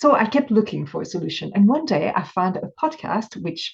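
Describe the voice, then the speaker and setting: A woman with a French accent talks at a fairly quick pace, somewhat breathy, at a medium pitch. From France. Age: 50s. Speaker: binge eating coach. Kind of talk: interview.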